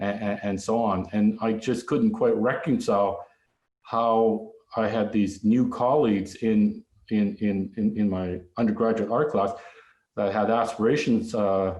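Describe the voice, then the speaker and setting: A man with a Canadian accent talks at a fairly slow pace, his pitch fairly low and his intonation fairly even. Room echo is audible. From Canada, Vancouver area (British Columbia). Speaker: visual artist. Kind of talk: lecture. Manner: halting, many fillers and restarts.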